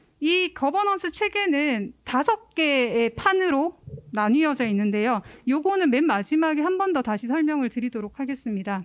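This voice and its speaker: A woman with a Gyeongsang accent, high-pitched, with very wide pitch swings and a moderate pace. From Gyeongsang region, South Korea. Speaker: cultural center administrator. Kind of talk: forum presentation.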